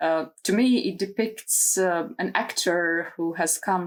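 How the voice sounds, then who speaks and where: A fairly low-pitched woman with a non-native accent. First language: not English. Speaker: tarot content creator. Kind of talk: casual video talk. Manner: hesitant, many fillers.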